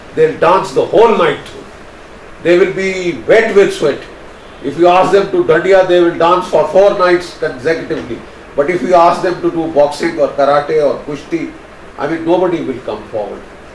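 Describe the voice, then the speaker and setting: A man speaks in a high voice with ordinary pitch variation, keeping a moderate pace while noticeable noise sits in the background. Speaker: retired army major general and strategic analyst. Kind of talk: motivational address to youth, speech to camera. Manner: earnest, forceful, emphatic.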